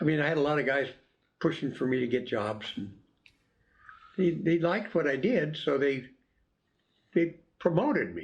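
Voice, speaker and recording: Pausing long and often, a man speaks with lively intonation, a fairly high pitch, and vocal fry. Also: moderate pace. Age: 90s. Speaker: retired coast guard officer. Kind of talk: interview.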